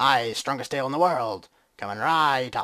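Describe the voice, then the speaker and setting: A man in a put-on character voice, medium pitch, moderate pace, on a very clean recording with a silent background. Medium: game stream. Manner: hearty, jovial.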